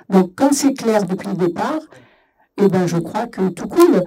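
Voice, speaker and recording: A woman's somewhat breathy voice, dark and mellow in tone, with lively intonation at a fairly slow pace. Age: 70s. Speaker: workshop participant. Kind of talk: panel discussion. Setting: festival debate, live radio.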